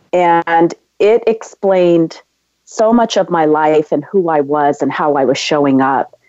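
A woman with a Californian accent speaks at a fairly slow pace, her fairly low pitch moving with ordinary variation and her loudness very even. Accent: Californian American. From US West Coast, San Diego. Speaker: entrepreneur. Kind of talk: interview.

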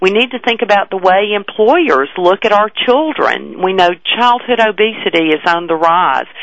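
Music plays behind a woman with a medium pitch for a woman. She speaks at a moderate pace with lively intonation and hardly any pauses. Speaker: health commissioner. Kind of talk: interview.

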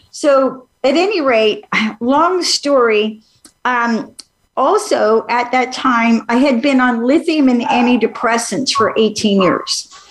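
Speaking very slowly in a high-pitched voice, a woman keeps her loudness very even and uses ordinary pitch variation. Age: 60s. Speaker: medical intuitive healer and author. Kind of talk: interview.

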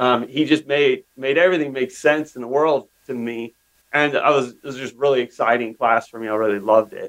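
Delivered at a fairly quick pace, this is a normal speaking voice with an American accent. Its pitch variation is ordinary. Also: man, medium pitch for a man, big swings in loudness. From US West, northeastern Oregon. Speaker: tech company CEO. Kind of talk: interview. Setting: podcast interview.

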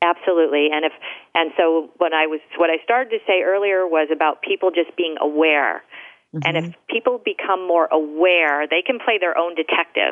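A woman with a plain, everyday voice talks at a fairly quick pace, her pitch fairly low and its variation ordinary. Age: 50s. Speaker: health coach. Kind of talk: casual chat.

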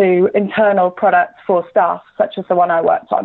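A woman with a plain, everyday voice, medium in pitch with ordinary pitch variation, at a fairly quick pace. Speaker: banking digital executive. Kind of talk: radio interview.

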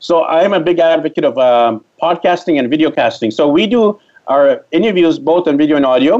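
A man with a Canadian accent speaks in an ordinary speaking voice with ordinary pitch variation. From Canada, Vancouver. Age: 40s. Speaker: travel blogger and digital nomad. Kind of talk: interview.

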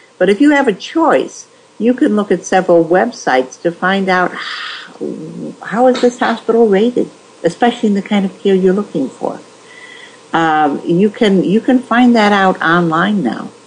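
Over noticeable background noise, a woman talks at a moderate pace with lively intonation and a medium pitch. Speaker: nurse ethics author. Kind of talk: interview.

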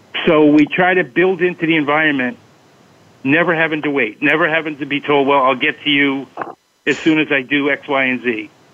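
A man with a plain, everyday voice, fairly high in pitch, fairly even in intonation, at a fairly quick pace. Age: 60s. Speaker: special education teacher working with Huntington's patients. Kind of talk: interview.

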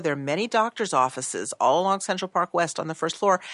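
A woman speaks at a fairly quick pace and a fairly low pitch in a plain, everyday voice. The sound is dry and close with no echo. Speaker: real estate agent. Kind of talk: panel discussion.

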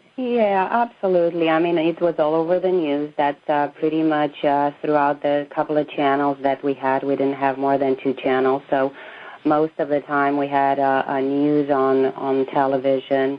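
A woman with a very deep, low voice and a Romanian accent, moderate pace, hardly any pauses, very even loudness, fairly even intonation, noticeable background noise. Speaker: emigrant from communist Romania. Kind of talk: interview.

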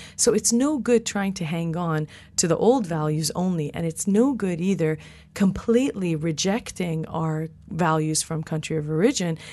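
In an American accent, a woman with a fairly low, dark and mellow voice speaks at a moderate pace with ordinary pitch variation. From Iranian diaspora, California, Canada, UK. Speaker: cross-cultural psychologist, professor. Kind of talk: interview discussion.

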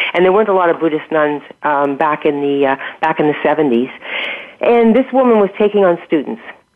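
Noticeable background noise sits behind a woman with a very deep, low pitch who talks fairly quickly, her pitch swinging very widely while her loudness stays very even. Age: 60s. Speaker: health and wellness coach. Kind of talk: interview. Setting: radio show.

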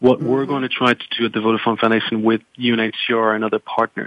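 A man with a French accent speaks in a monotone with flat intonation. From France. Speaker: foundation program manager. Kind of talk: panel discussion. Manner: halting.

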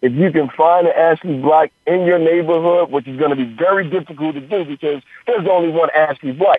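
Barely pausing, a man talks at a fairly quick pace with ordinary pitch variation. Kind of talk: phone interview on radio, talking casually as a guest. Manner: relaxed, conversational, explanatory, with filler 'you know' and 'uh'.

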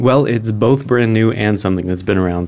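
Fairly low male speech with ordinary pitch variation. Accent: American. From Arizona, Phoenix. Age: 30s. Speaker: former professor turned startup executive. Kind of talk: interview. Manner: halting.

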